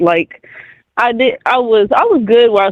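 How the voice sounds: A man talks with fairly even intonation, and the sound is dry and close with no echo.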